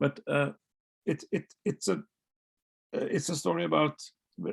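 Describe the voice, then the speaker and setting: A man with a Norwegian accent at a moderate pace, in a dry, close sound with no echo. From Norway, Oslo. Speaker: novelist. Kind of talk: author interview. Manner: halting, many repetitions.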